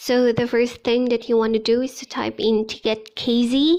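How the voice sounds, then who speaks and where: A woman with a Filipino accent speaks at a fairly slow pace. Her pitch is fairly high and her intonation fairly even. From Philippines, Ilocano-speaking region. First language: Ilocano. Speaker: teacher and vlogger. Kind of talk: vlog tutorial.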